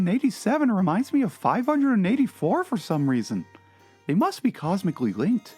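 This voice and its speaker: A put-on character voice with very wide pitch swings and faint music in the background. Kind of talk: dramatic reading of a comedy blog.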